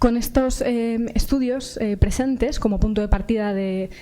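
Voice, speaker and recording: With audible room echo, a soft-spoken woman talks at a moderate pace in a fairly high pitch. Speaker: psychology researcher. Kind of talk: conference talk. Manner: halting. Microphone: too quiet at first, later fine.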